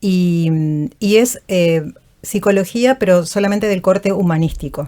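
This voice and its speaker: With a Uruguayan accent, a woman speaks fairly slowly at a medium pitch, her tone dark and mellow and her pitch varying in an ordinary way. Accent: Rioplatense Uruguayan. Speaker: voice actor and vocal coach. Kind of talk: interview. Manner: calm.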